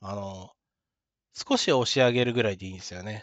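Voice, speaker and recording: The man's voice sits at a medium pitch. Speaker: YouTuber talking about neurodevelopmental disorders. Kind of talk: solo talk monologue. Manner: fast; casual, with filler words.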